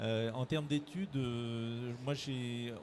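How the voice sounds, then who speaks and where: A man's somewhat breathy voice sits at a medium pitch and shows ordinary pitch variation. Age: 60s. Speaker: director of a training organisation. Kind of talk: interview. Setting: careers fair. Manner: halting, many hesitations.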